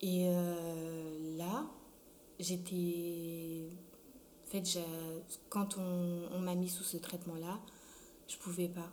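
A woman speaks very slowly at a fairly low pitch in a monotone, flat intonation. Audible room echo surrounds her voice. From France (arrived from Congo at 6). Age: 20s. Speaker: student with sickle cell disease. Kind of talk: testimony.

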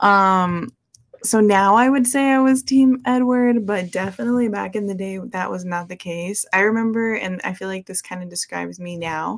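A woman speaks at a moderate pace with a medium pitch, in a normal speaking voice. Her loudness swings widely. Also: ordinary pitch variation. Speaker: podcast host. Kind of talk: casual chat.

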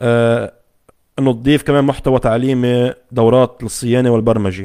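A man with a Lebanese accent speaks at a medium pitch. His intonation is monotone and flat. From Lebanon. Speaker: tech YouTuber. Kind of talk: live stream chat with viewers. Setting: home studio, Facebook live from laptop. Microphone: condenser microphone connected directly to laptop.

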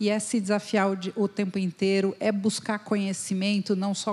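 Noticeable background noise sits under a woman speaking at a moderate pace and medium pitch, her intonation flat and monotone. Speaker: company founder, HR consultant. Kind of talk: panel discussion. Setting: stage with audience.

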